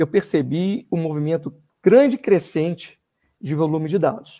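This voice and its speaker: His tone is dark and mellow, and this man's fairly high voice shows ordinary pitch variation. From Brazil, Belo Horizonte, Minas Gerais (born in Rio de Janeiro, moved at 13). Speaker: university professor and doctoral student. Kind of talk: podcast interview.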